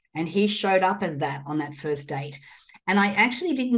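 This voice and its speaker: A woman talks at a moderate pace. She has an Australian accent. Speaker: entrepreneur and guest. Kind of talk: interview chat.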